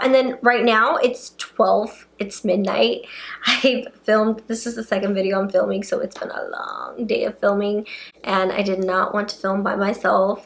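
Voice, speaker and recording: A woman speaks with a fairly high pitch and fairly even intonation. Noticeable background noise runs behind her. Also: moderate pace. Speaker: beauty and paranormal-story YouTuber. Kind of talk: casual talk to camera, reading subscribers' ghost stories. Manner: playful, chatty, casual.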